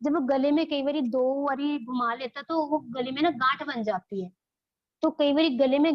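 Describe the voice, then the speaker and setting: Speaking with a Punjabi accent, a woman talks at a moderate pace. Her voice is high in pitch, with fairly even intonation. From Punjab, India. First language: Punjabi (speaking Hindi). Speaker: childbirth educator. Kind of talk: online class lecture.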